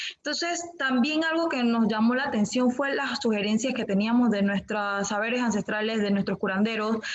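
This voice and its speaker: Amid noticeable background noise, a woman talks at a moderate pace with hardly any pauses, fairly high pitch and ordinary pitch variation. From Panama, Guna Yala comarca. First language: Guna (speaking Spanish). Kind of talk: panel discussion.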